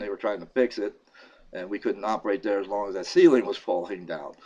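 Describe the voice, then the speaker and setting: A man talks at a fairly quick pace with ordinary pitch variation. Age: 60s. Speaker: YouTube talk show host, retired veteran. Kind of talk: casual personal monologue. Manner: hesitant, many fillers.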